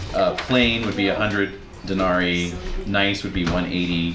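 Ordinary pitch variation and a fairly slow pace come through over noticeable background noise. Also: man. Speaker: game master. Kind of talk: tabletop roleplaying game session, narrating and running the game.

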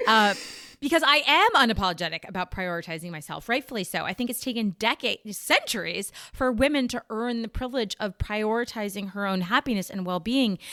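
A woman speaks at a fairly high pitch with lively intonation. The sound is dry and close with no echo, but with noticeable background noise. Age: 40s. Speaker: podcast host. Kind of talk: casual chat.

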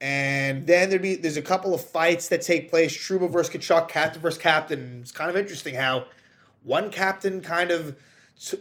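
At a fairly quick pace, a man speaks at a fairly high pitch with ordinary pitch variation. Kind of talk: sports commentary, a fan's angry post-game rant and recap with play-by-play. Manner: exasperated, sarcastic and frustrated, with repeated emphatic swearing.

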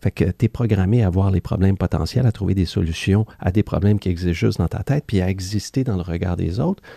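A man's very deep, low voice, somewhat breathy with a dark, mellow tone, at a very fast pace with hardly any pauses and ordinary pitch variation, in a dry, close sound with no echo. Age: 50s. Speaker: former Wall Street executive turned spiritual author. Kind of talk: casual interview. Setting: studio.

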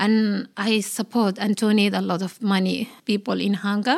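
A woman speaks in a Somali accent at a medium pitch with ordinary pitch variation. The recording is very clean with a silent background. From Somalia. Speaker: health and wellbeing worker. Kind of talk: casual interview chat. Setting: studio. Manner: halting, non-standard grammar.

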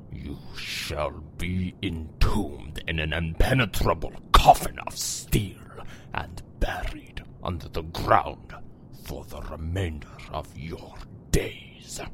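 A raspy, put-on character voice from a man, very deep and low in pitch, at a very slow pace, over clear background noise. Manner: menacing, cold.

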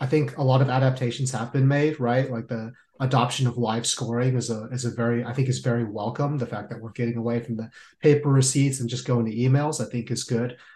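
Against a quiet background, a man talks in a somewhat breathy voice with monotone, flat intonation. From San Jose, California. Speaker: podcast host, Marine veteran. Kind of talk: interview.

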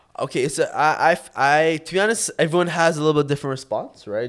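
A man with a Toronto accent at a fairly quick pace, with ordinary pitch variation, on a very clean recording with a silent background. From Toronto area, Canada. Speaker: vodka brand founder. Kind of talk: casual interview. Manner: halting.

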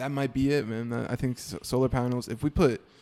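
Someone speaks with an American accent in a dark, mellow tone. The pace is fairly quick. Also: man. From US South. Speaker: musician. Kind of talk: casual chat.

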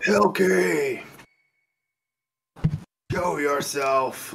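Putting on a character voice, a man shouts and bellows in a raspy tone at a fairly high pitch. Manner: bellowing, yelling.

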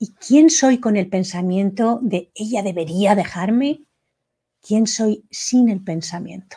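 Very slowly and somewhat breathily, a woman of medium pitch speaks in a dark, mellow tone with ordinary pitch variation. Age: 50s. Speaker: coach leading a self-inquiry workshop. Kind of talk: live online workshop.

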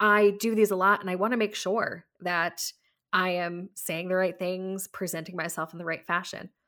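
The tone is bright and sharp, and the intonation stays flat and monotone. Delivered at a moderate pace, it is a very clean recording with a silent background. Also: woman. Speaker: podcast host. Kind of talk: casual conversational podcast chat.

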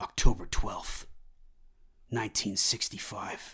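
A man does a put-on character voice. It sounds gravelly and raspy. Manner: mysterious, gravelly.

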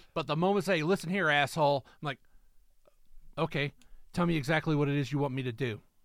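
Talking at a very fast pace with long, frequent pauses, a man speaks with a fairly high pitch. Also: ordinary pitch variation. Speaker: podcast co-host. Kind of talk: casual chat. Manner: loud; intense.

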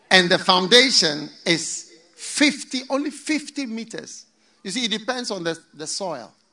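A man speaks in a raised, projected voice at a high pitch and a fairly slow pace. His tone is animated and warm, with very wide pitch swings and big jumps in loudness. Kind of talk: sermon. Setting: church. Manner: animated, rhythmic call-and-response preaching, warm and authoritative.

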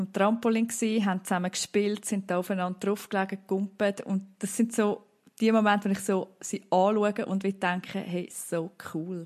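Speaking in a Swiss accent, a woman keeps a medium pitch and a monotone, flat intonation. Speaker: mother of four. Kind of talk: casual chat.

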